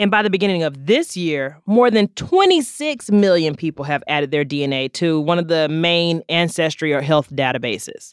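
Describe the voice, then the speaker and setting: A woman has an ordinary speaking voice at a fairly low pitch. She talks at a moderate pace with lively intonation. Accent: American. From North Carolina. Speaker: podcast co-host, science explainer. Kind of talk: casual chat with science explanation.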